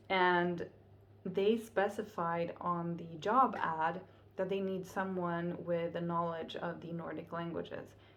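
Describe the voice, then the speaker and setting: Speaking with a Finnish accent, a woman uses a fairly low pitch, a very slow pace and fairly even intonation, with big swings in loudness. Audible room echo fills the recording. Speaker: vlogger. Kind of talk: casual vlog monologue.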